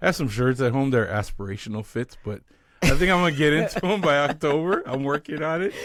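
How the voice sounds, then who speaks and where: The man's pitch is fairly high. He talks at a very fast pace. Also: lively intonation. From Canada. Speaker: leadership strategist. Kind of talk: interview conversation. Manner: casual, conversational.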